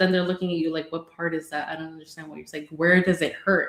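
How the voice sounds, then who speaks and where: A woman speaks in a Spanish accent at a fairly low pitch. Her intonation is monotone and flat. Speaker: bilingual mental health clinician, podcast co-host. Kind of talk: casual podcast discussion.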